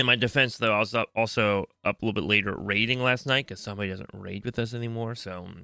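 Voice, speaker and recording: A man talks at a very fast pace and medium pitch with hardly any pauses, his intonation fairly even but his loudness swinging widely. The sound is dry and close with no echo, on a very clean recording with a silent background. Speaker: podcast co-host. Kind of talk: casual chat. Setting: home desk recording. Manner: flat, low-energy.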